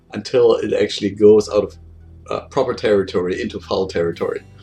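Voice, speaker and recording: The speaker has a German accent. Music plays in the background. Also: man. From Germany. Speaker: game programmer. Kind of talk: casual monologue. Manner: casual, with many fillers.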